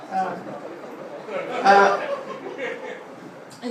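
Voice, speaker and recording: An Australian accent over noticeable background noise. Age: 70s. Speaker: retired school headmaster. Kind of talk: after-dinner speech. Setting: reunion dinner with audience. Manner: anecdotal, with hesitations.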